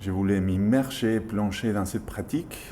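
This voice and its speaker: A man with a strong Argentine accent speaks at a fairly slow pace in a fairly low voice. His tone is dark and mellow, with ordinary pitch variation. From Argentina. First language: Spanish (speaking French). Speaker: yoga teacher. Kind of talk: interview.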